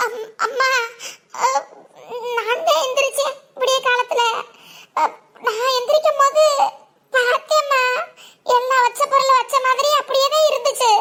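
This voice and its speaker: A woman's cartoonish character voice at an extremely high pitch, with fairly even intonation and a fairly slow pace. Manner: hesitant, stammering.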